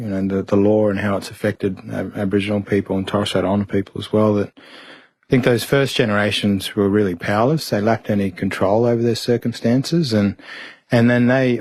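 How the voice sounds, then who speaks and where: The speaker talks fairly quickly in an Australian accent, keeping a fairly even intonation. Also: man. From Mount Isa, Queensland, Australia. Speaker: barrister. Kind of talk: interview answer.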